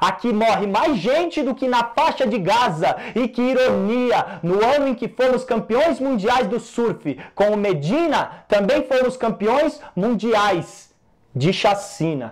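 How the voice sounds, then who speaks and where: A man speaks at an extremely high pitch with lively intonation. His pace is very slow, yet he leaves hardly any pauses. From Brazil. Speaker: poet. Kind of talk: spoken-word poetry. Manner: rhythmic, rhyming delivery with punchy, indignant emphasis; animated, rhetorical questions building to a solemn close. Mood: indignant, grave. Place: home room.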